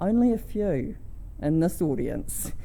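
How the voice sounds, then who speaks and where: Dark and mellow in tone, a woman speaks with a New Zealand accent. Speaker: conference speaker, energy researcher. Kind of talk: conference talk. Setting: stage with audience.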